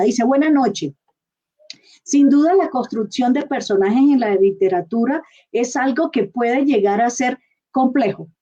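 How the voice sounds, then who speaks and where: A woman's high voice with a Colombian coastal accent, dark, mellow in tone, at a moderate pace with ordinary pitch variation. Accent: Colombian coastal accent, kept. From Colombian Caribbean coast. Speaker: interviewer. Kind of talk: live online interview.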